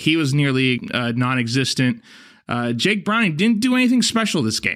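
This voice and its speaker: Here is a man with an ordinary speaking voice at a medium pitch. He talks at a moderate pace on a very clean recording with a silent background. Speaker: podcast co-host. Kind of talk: sports talk, opinionated.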